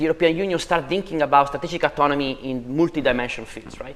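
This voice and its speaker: A man talks with an Italian accent. His pitch varies in an ordinary way. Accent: Italian accent, clearly audible. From Italy. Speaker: policy researcher on digital finance. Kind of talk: panel discussion.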